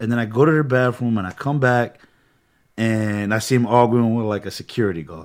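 A man talks at a fairly quick pace in a plain, everyday voice, his medium pitch showing ordinary variation. The recording is very clean, with a silent background. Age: 30s. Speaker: travel content creator. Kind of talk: casual chat.

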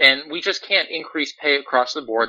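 With an American accent and an ordinary speaking voice, a man talks at a moderate pace and a fairly high pitch, with ordinary pitch variation. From Pennsylvania, US. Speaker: navy reservist sailor. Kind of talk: podcast interview.

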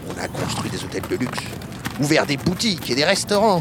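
Over music in the background, a man with a fairly high pitch speaks in an animated, playful tone. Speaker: voice actor playing a retired racehorse. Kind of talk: dramatic character narration, a horse telling its story. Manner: animated, playful, chatty with humorous asides; conversational and proud, with a wry tone.

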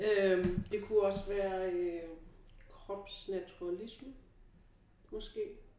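A woman's dark, mellow voice at medium pitch, very slow and monotone, with long, frequent pauses and audible room echo. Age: 40s. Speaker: relaxation educator and personal trainer. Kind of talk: casual chat. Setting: training and treatment centre. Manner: halting.

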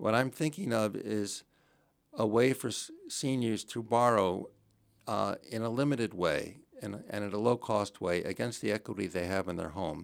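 An ordinary speaking voice from a man with an American accent, medium in pitch with ordinary variation, at a moderate pace on a very clean recording with a silent background. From New Jersey. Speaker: local political candidate. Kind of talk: interview.

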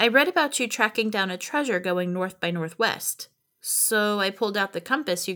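A natural reading voice with lively intonation is heard against a quiet background.

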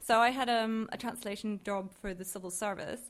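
On a very clean recording with a silent background, a woman speaks at a moderate pace in a fairly high, monotone voice with flat intonation. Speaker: postdoctoral researcher. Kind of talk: panel talk. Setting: stage with audience.

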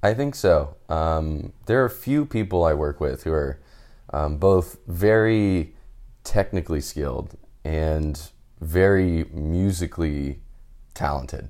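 A man with an American accent, a very deep, low pitch, a dark, mellow tone and a very slow pace. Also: ordinary pitch variation. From Texas, Houston suburbs. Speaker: marketing analyst. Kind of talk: casual interview. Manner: hesitant, many fillers.

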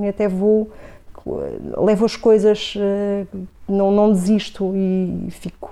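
A woman's fairly high voice has a dark, mellow tone and a monotone, flat intonation. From Portugal, grew up in Coimbra (born Vila Real). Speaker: marketing professor and city councillor. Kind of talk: radio interview.

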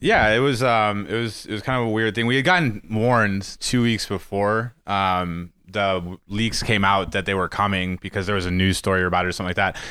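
A man with an American accent, fairly low in pitch, bright and sharp in tone, at a fairly quick pace with fairly even intonation, in a very clean recording with a silent background. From Missouri, US Midwest. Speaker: former political TV booker. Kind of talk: casual interview.

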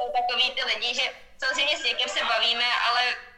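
A woman talks very fast at a high pitch with ordinary pitch variation. Noticeable background noise and audible room echo surround her voice. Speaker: professional swimmer. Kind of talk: casual chat. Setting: video call. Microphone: poor sound quality.

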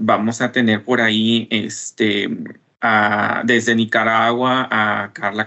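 A man with vocal fry speaks at a medium pitch in a monotone, flat delivery. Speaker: former scholarship holder, business development professional. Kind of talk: radio interview. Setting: remote connection.

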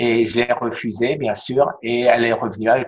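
At a moderate pace, a man with a medium pitch speaks in a normal speaking voice. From France, Alsace (Strasbourg). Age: 60s. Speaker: cancer survivor sharing his story. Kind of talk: testimony in interview.

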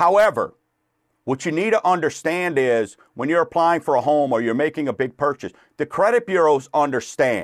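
Against a quiet background, a man with a fairly high pitch talks at a moderate pace in an upbeat, energetic tone with lively intonation. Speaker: radio host. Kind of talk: radio show hosting, mortgage education talk. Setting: radio studio, livestreamed. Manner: upbeat, energetic radio-DJ patter with catchphrases; conversational, fills with uh and um.

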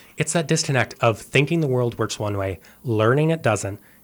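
Heard in a very clean recording with a silent background, the speaker has a western Canadian accent, ordinary pitch variation, and a moderate pace. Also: man. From Canada, suburb of Calgary, Alberta. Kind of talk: radio interview.

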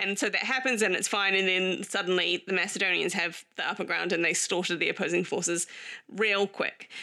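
Over noticeable background noise, a woman at medium pitch and a fairly quick pace, with fairly even intonation and very even loudness. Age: 40s. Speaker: history podcast co-host. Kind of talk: casual chat.

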